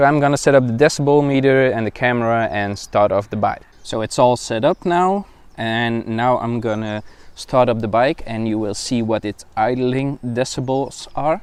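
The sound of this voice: A man's voice at medium pitch and moderate pace, clear, smooth and slightly mellow in tone, with ordinary pitch variation.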